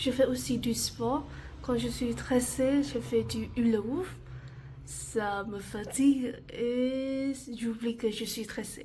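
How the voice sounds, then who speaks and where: At a very slow pace and with fairly even intonation, a woman with a Vietnamese accent speaks at a fairly high pitch over audible room echo. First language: Vietnamese (speaking French). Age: 20s. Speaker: university student. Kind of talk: self-presentation video.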